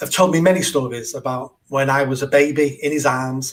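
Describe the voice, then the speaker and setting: Speaking in a Mancunian accent is a man. His pitch is fairly high. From northern England, south Manchester. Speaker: charity founder and mayoral candidate. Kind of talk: podcast interview.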